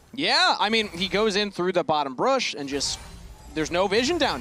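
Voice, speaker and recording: A man with a Minnesotan accent in a raised, projected voice, high-pitched with very wide pitch swings, at a moderate pace, music in the background. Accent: Minnesotan, long vowels. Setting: sports commentary.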